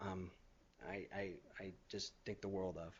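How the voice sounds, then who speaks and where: This is a man's voice. The pitch sits fairly low. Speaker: cancer survivor. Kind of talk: testimony. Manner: halting, stuttering.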